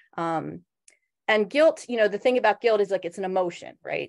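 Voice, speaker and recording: A woman with an American accent talks at a fairly quick pace and medium pitch with lively intonation against a quiet background. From Philadelphia, US Northeast. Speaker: social worker. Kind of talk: workshop presentation. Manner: fast; casual, many fillers.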